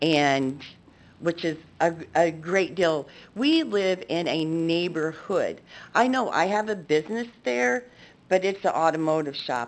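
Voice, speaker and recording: An unremarkable speaking voice comes through at a fairly slow pace with lively intonation. The recording is very clean with a silent background. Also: woman, fairly low pitch for a woman. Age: 60s. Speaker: public commenter, business owner. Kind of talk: public comment at council meeting. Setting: council chamber.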